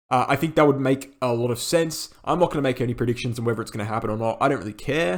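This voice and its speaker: A man speaks at a very fast pace. There is noticeable background noise. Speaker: crypto trading youtuber. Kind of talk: market analysis video.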